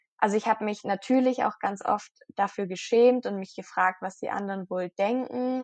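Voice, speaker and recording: A woman at a moderate pace with ordinary pitch variation, in a dry, close sound with no echo. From southwestern Germany, near Stuttgart. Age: 20s. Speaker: blogger on eating disorder recovery. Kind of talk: interview, personal testimony. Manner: hesitant with frequent fillers.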